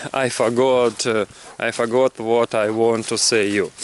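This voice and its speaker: There is noticeable background noise behind this man. He speaks at a medium pitch with a Russian accent. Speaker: English learner vlogger. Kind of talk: casual vlog monologue. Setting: outdoors in a forest walking a dog. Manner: halting, many fillers and repetitions.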